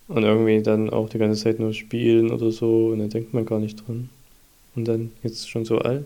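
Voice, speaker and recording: A man with medium pitch has a dark, mellow tone. He talks at a moderate pace in a monotone, flat delivery. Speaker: podcast host, father of a baby. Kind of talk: casual chat.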